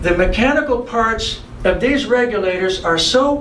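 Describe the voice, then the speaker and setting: A man with an American accent speaks at a moderate pace and an extremely high pitch, with ordinary pitch variation. Audible room echo and noticeable background noise are present. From US South, Miami, Florida. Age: 70s. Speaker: vintage scuba diving enthusiast. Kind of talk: tutorial demonstration. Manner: halting, many repetitions and fillers; casual, unscripted.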